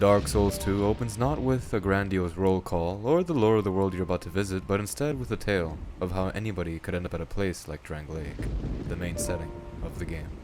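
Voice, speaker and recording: With music in the background, the speaker goes at a fairly quick pace and uses lively intonation. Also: man, very deep, low pitch for a man. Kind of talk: video essay narration. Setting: worn home microphone, occasional popping.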